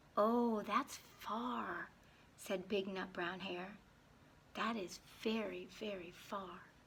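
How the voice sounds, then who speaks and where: A woman's put-on character voice, medium in pitch, warm and gentle in tone, at a very slow pace with long, frequent pauses over clear background noise. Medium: read story. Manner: warm, gentle.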